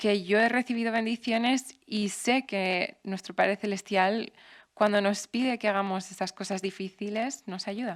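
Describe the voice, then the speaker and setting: In a very clean recording with a silent background, a woman speaks with an English accent. Her pitch is medium, her intonation fairly even and her pace fairly slow. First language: English (speaking Spanish). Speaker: temple matron, missionary. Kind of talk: interview.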